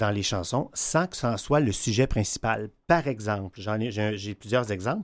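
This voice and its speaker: Here is a plain, everyday voice with ordinary pitch variation, going at a fairly slow pace. The background is silent and the recording very clean. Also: man. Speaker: music columnist. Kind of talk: radio column.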